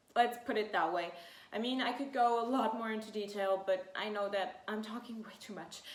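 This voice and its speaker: A woman with a fairly high pitch talks at a moderate pace, her intonation fairly even but her loudness swinging widely. Audible room echo and noticeable background noise fill the recording. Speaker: fashion YouTuber, student. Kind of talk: casual sit-down vlog. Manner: hesitant, many fillers.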